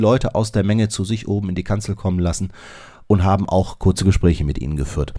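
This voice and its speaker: In a very clean recording against a silent background, a man speaks with a dark, mellow tone. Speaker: podcast host. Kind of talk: podcast monologue. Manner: casual.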